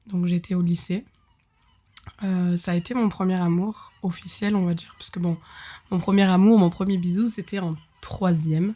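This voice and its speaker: A woman's somewhat breathy voice at medium pitch, moderate pace and fairly even intonation, broken by long, frequent pauses. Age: 20s. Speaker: podcast host. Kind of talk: storytelling. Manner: casual, many hesitations.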